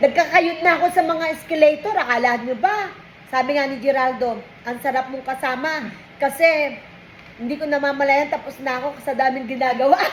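High-pitched woman's voice at a fairly quick pace, with big swings in loudness and noticeable background noise. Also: ordinary pitch variation. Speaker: vlogger. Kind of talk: casual chat. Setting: lunch break at work.

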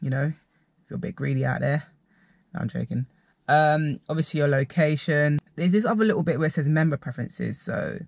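Over a quiet background, a man speaks at a fairly quick pace. His voice is somewhat breathy, with ordinary pitch variation. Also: dry sound with no echo. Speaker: vlogger reviewing dating apps. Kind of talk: casual vlog chat. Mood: playful, mildly exasperated. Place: car. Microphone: phone near.

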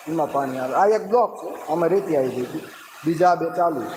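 A man's high-pitched voice comes through clearly audible background noise. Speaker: vlogger. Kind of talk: live stream walkthrough. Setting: indoors then outdoors at a water works. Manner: casual, conversational.

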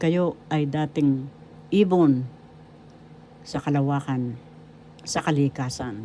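Speaking at a very slow pace with long, frequent pauses, a woman has a very deep, low pitch, a dark, mellow tone and ordinary pitch variation. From Philippines, Manila. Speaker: retired teacher and author. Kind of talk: inspirational monologue. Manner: polite formal.

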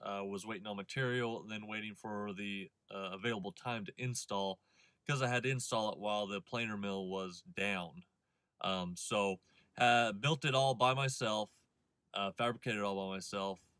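A man talks at a moderate pace with a fairly low pitch, ordinary pitch variation and a bright, sharp tone. The sound is dry with no echo, over a quiet background. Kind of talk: casual vlog chat. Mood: relaxed, friendly. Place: car. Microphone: phone near.

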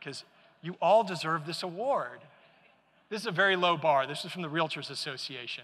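Talking at a fairly quick pace yet with long, frequent pauses, a man with a high voice, a bright, sharp tone and an American accent shows big swings in loudness. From Michigan, US Midwest. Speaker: keynote speaker, green building advocate; keynote speaker. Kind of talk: keynote speech. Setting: conference stage with audience. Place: hall. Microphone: lapel.

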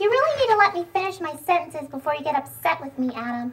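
A female-sounding cartoonish character voice goes at a very fast pace. Its pitch is extremely high. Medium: puppet show. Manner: cheeky, hustling, mock-offended.

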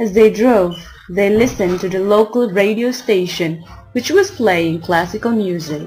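Over music in the background, a woman speaks at medium pitch with ordinary pitch variation and a moderate pace. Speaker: amateur narrator. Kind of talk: short story narration for listening practice.

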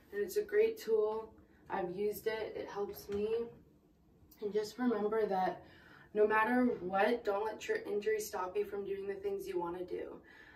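A woman's fairly high voice with fairly even intonation, plus audible room echo. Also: moderate pace. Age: 20s. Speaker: nurse. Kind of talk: casual how-to talk to camera. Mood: warm, encouraging. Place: bathroom. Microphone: phone near.

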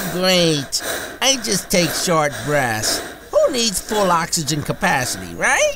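A cartoonish character voice at a middle pitch, over clear background noise. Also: fairly slow pace. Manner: sarcastic, exasperated.

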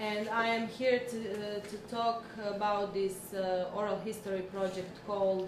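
Delivered at a very slow pace in a monotone, flat intonation, the speech has noticeable background noise. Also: woman. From Croatia (Zagreb). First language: Croatian. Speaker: human rights NGO worker. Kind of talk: lecture. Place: classroom.

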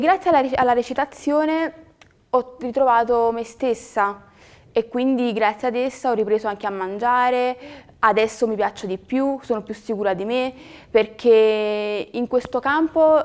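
This woman talks at a fairly slow pace with a high pitch. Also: ordinary pitch variation. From Naples, southern Italy; southern Italy. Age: young. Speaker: acting student. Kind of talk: testimonial. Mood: earnest, determined, personal. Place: studio.

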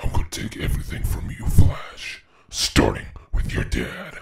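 A raspy, put-on character voice from a man at a moderate pace. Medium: voice reel. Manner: threatening.

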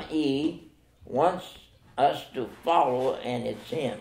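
A man talks very slowly, and room echo is audible around him. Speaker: pastor. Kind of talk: sermon. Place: church. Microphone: camera far.

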